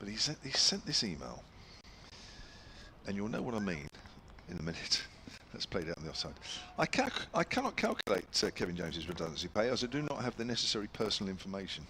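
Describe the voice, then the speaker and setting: A man with a fairly low voice talks very fast, with very wide pitch swings and long, frequent pauses. Noticeable background noise is present. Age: 60s. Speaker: radio cricket commentator. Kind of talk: live commentary.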